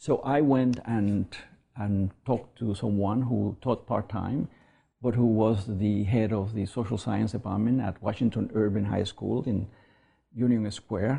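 Against a quiet background, a man with a non-native accent speaks at a fairly low pitch in a dark, mellow, somewhat breathy tone with fairly even intonation. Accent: foreign. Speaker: academic. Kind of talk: interview. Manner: halting.

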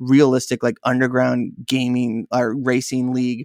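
The recording is very clean, with a silent background and a dry, close sound free of echo. A man speaks at a moderate pace. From US West Coast, San Diego. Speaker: video game podcaster. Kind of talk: casual chat. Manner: halting, frequent repetitions.

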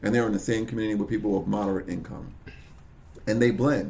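A man talks at a very fast pace in a medium-pitched voice with an American accent. The room echo is audible. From Brooklyn, New York. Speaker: local politician. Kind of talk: interview.

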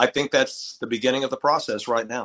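A man with a West Texas accent and fairly even intonation. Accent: West Texas American. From Texas, Lubbock. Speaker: retired basketball play-by-play announcer, teacher. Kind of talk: casual interview chat.

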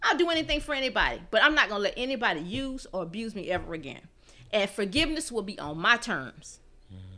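A woman talks very fast in a fairly high, bright, sharp voice with vocal fry, very wide pitch swings and big swings in loudness. The recording is very clean, with a silent background. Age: 40s. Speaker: podcast host's mother. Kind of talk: casual chat.

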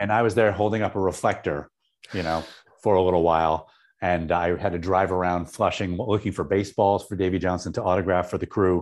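Against a quiet background, a man with a New York State accent and a very deep, low pitch speaks at a fairly quick pace with fairly even intonation. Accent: American, New York State. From upstate New York (Syracuse). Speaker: TV writer and showrunner, former stand-up comedian. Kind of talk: casual interview. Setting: live stream interview.

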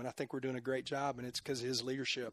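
A man speaks with a Texan accent at a fairly high pitch. The sound is dry and close, with no echo. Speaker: football coach. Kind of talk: casual interview.

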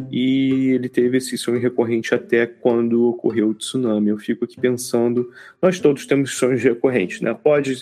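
Speaking at a moderate pace, a man uses a medium pitch, a dark, mellow tone and fairly even intonation. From Brazil, Rio de Janeiro. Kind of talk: casual chat.

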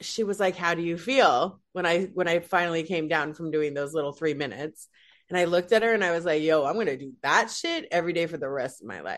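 With an American accent, a woman speaks at a moderate pace in an unremarkable speaking voice, her pitch fairly low with ordinary variation, against a quiet background. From Utah (Salt Lake City). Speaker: comedian. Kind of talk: casual chat.

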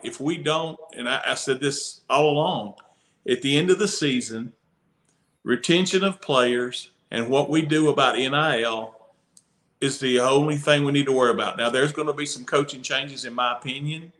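A man's fairly high voice has a bright, sharp tone. He goes at a moderate pace with ordinary pitch variation. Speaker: podcast co-host.

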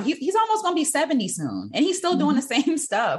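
Her voice carries a somewhat breathy quality. The woman rushes along at a very fast pace. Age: 30s. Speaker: podcast host. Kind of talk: casual chat.

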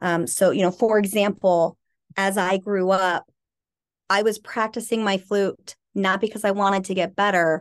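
At a moderate pace, a woman talks in an unremarkable speaking voice of medium pitch with fairly even intonation. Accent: American. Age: 40s. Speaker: author and trauma recovery expert. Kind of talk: interview about personal abuse history.

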